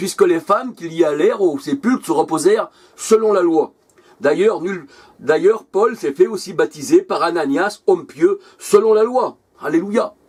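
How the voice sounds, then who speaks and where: Speaking at a fairly slow pace, a man with a high-pitched voice swings his pitch very widely. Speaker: preacher. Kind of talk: sermon.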